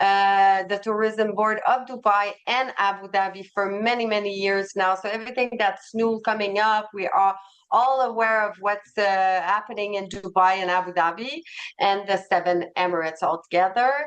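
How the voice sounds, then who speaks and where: A moderate pace in a Quebec accent, with fairly even intonation. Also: woman, medium pitch for a woman. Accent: French Canadian (Quebec). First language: French. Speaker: travel company representative. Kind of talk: sales presentation webinar.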